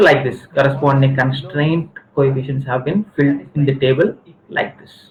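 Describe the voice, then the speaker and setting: A man with a fairly high voice. His tone is somewhat breathy. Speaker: university lecturer. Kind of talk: lecture. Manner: halting.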